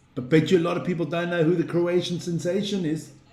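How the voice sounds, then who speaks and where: At a moderate pace, a man speaks in a high pitch with audible room echo around him. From South Africa, Western Cape (Plumstead), Swiss-born. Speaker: sports live stream host. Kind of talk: casual live stream chat. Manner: animated.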